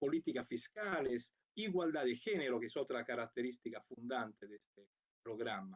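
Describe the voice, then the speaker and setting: A man with an Italian accent speaks at medium pitch with lively intonation and big swings in loudness. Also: moderate pace. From Italy. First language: Italian (speaking Spanish). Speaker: international program coordinator. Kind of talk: conference talk. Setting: remote video link.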